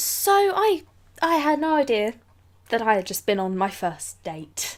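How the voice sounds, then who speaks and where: The speaker uses a British accent at a very slow pace, with very wide pitch swings. The recording is very clean, with a silent background. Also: woman. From England. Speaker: vlogger. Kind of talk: casual talk to camera.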